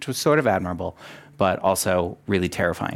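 Speaking at a moderate pace, a man uses a plain, everyday voice with ordinary pitch variation. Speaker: corporate diversity director. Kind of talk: panel discussion. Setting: stage with audience.

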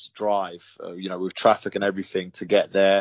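The man's voice sits at a fairly low pitch. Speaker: MMA fighter. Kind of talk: interview. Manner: halting, filler-heavy.

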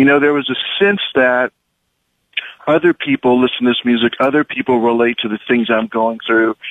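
Using a normal speaking voice, a man talks at a medium pitch and a moderate pace. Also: ordinary pitch variation. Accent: American. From US Midwest, southwest Kansas. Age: young. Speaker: film director and producer. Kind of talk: radio interview.

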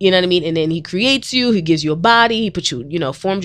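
Against a quiet background, a woman with an American accent and a fairly low pitch talks very fast in an animated, playful tone. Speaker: radio host and counselor.

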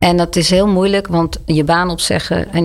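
Using an unremarkable speaking voice, a woman talks at a moderate pace in a fairly low pitch with fairly even intonation. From Netherlands, Leiden. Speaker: charity director. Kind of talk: interview conversation.

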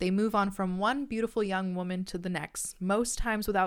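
A woman with a Canadian accent speaks at a fairly quick pace in a normal speaking voice, her medium pitch carried on fairly even intonation. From Canada. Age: 20s. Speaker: podcast host, university student. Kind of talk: casual solo chat. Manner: casual with frequent fillers and laughs.

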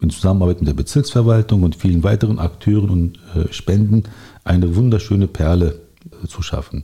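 A man speaks at a fairly quick pace with a fairly low pitch and ordinary pitch variation. His voice is somewhat breathy, with a dark, mellow tone. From Berlin, Germany. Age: 40s. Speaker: local politician. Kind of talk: interview.

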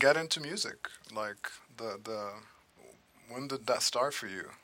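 A man's bright, sharp tone, with very wide pitch swings and a fairly slow pace. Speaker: podcast host. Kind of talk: casual interview chat.

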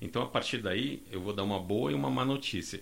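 Bright and sharp in tone, a man's medium-pitched voice moves at a fairly quick pace with ordinary pitch variation. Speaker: data scientist. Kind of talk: panel discussion.

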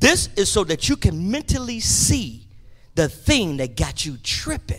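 Raised and projected, this man's bright, sharp voice swings very widely in pitch, animated in tone yet delivered at a fairly slow pace. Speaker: preacher. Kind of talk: sermon. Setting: church. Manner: loud.

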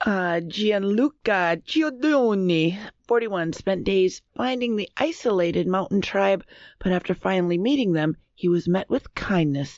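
At a fairly slow pace, a woman with an American accent and a medium-pitched voice speaks with lively intonation and very even loudness. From US Upper Midwest, Minnesota. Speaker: quiz show panelist. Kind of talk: reading news stories aloud.

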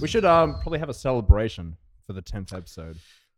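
A man talks at a very fast pace with an Australian accent. His pitch swings very widely. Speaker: podcast co-host. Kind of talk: casual chat.

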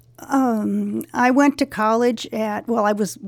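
A woman with a Californian accent, medium pitch, ordinary pitch variation and a fairly slow pace. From Los Angeles, San Fernando Valley. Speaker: school alumna, retiree. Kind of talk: interview.

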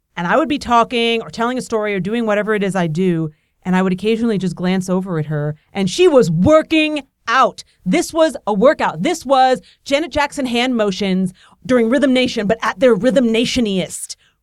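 An animated tone moves at a fairly quick pace through very wide pitch swings, with a dry, close sound and no echo. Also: woman, fairly high pitch for a woman. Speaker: podcast host. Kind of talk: casual chat. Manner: fast talker; animated, joking.

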